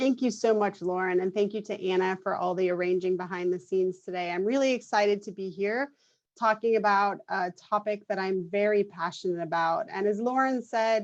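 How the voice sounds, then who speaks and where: A woman talking at a fairly quick pace with ordinary pitch variation, against a quiet background. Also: medium pitch for a woman. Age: 40s. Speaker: clinical nurse specialist. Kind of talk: lecture. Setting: video call. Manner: fast.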